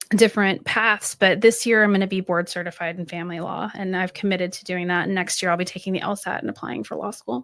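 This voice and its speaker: A woman talks at a very fast pace. She leaves hardly any pauses. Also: medium pitch for a woman, ordinary pitch variation, big swings in loudness. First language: French. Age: middle-aged. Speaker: aspiring law student and business mentor. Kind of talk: podcast interview. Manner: hesitant, many fillers.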